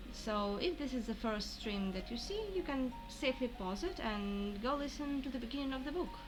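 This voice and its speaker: Over music in the background, a woman with a high pitch speaks with lively intonation and hardly any pauses. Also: moderate pace. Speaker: amateur audiobook reader and translator. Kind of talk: casual stream intro. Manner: occasionally stumbling, informal.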